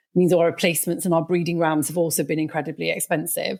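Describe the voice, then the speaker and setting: A voice with a Welsh accent speaks in a monotone, flat intonation on a very clean recording with a silent background. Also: woman. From Wales. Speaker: sheep consultant. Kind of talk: casual chat. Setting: podcast studio.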